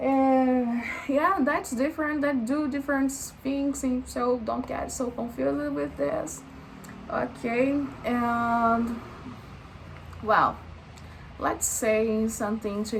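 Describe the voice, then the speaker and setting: A woman with a strong Brazilian accent and a fairly high pitch speaks at a very slow pace with long, frequent pauses, amid audible room echo and noticeable background noise. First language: Portuguese. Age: 20s. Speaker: vlogger. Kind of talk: casual vlog monologue, unscripted. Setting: talking to camera. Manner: halting, many fillers and false starts.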